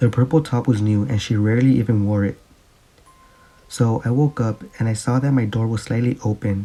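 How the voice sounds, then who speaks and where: A man talks at a medium pitch, his pitch varying in an ordinary way, with noticeable background noise present. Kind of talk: scary story narration.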